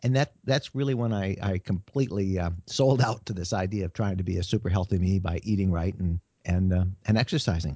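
The man's voice is very deep and low in pitch, with ordinary pitch variation. He talks at a fairly quick pace. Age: 60s. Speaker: media writer and travel blogger. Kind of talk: interview. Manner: halting, with fillers and repeated words.

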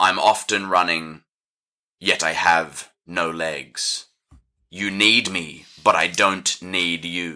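Booming and very deep, a man's put-on character voice moves at a very slow pace in a very clean recording with a silent background. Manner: riddling, ominous.

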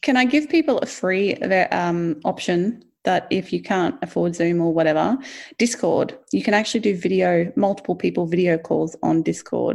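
A woman with vocal fry and a fairly low pitch speaks at a moderate pace, her intonation lively and her loudness very even, on a very clean recording with a silent background. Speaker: podcast co-host. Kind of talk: casual chat.

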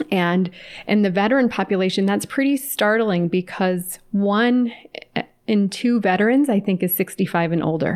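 A woman speaks in an American accent at a medium pitch. Her pace is moderate, with ordinary pitch variation. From California. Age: 40s. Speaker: clinical psychologist. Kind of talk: interview.

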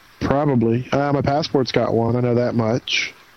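Noticeable background noise sits behind a man's medium-pitched voice. He speaks at a moderate pace with monotone, flat intonation. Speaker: podcast co-host. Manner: joking, playful.

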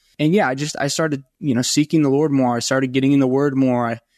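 This man talks fast in an American accent, at a medium pitch with little pitch movement. The sound is dry and close with no echo, and his tone is slightly mellow.

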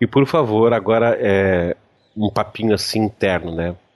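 This is a plain, everyday voice. A man speaks at a medium pitch and a fairly slow pace. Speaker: podcast host. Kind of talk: casual chat.

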